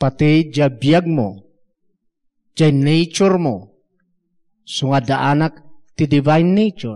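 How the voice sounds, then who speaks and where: Against a quiet background, a man with a fairly high pitch and a dark, mellow tone speaks very slowly at very even loudness, his intonation lively and his pauses long and frequent. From Philippines. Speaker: preacher. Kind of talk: sermon mixing Ilocano, Tagalog and English, with scripture references and amens. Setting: church. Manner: animated, exhortative preaching, rhythmic repeated 'Amen?' calls to the congregation. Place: church. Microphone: handheld.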